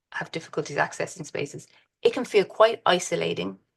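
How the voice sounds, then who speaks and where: A woman's voice with vocal fry at a fairly quick pace, over a quiet background. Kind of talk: presentation with slides. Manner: fast.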